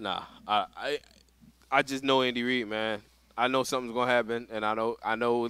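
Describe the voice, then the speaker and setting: At a fairly quick pace broken by long, frequent pauses, a man with an American accent speaks at a medium pitch in a monotone, flat intonation, his tone bright and sharp and the sound dry with no echo. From Philadelphia, US. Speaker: veteran competitive gamer; podcast co-host. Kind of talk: casual chat. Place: studio. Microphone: headset.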